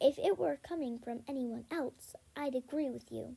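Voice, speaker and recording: A woman speaks in a put-on character voice at a high pitch. Her pace is moderate. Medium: read story. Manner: calm, courteous.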